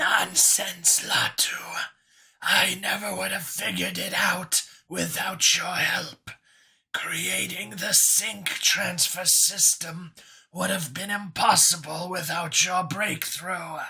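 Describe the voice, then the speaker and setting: A man's raspy put-on character voice, high in pitch, at a fairly slow pace. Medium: read story.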